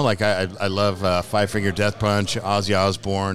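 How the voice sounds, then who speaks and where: Music plays in the background as a man with a fairly low pitch speaks at a moderate pace. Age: 50s. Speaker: painter and musician. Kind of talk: casual chat. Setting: live recording at an event.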